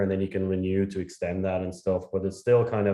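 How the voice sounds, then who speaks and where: A voice with a strong Irish accent, dark and mellow in tone, over a quiet background. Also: man. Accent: thick Irish. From Ireland. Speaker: startup founder and CEO. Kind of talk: interview.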